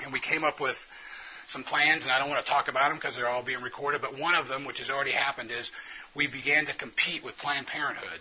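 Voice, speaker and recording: Speaking very fast with an American accent, a man keeps a fairly high pitch and monotone, flat intonation amid noticeable background noise. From US South. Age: 40s. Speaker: physician and conference speaker. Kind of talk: conference talk. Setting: conference room with audience.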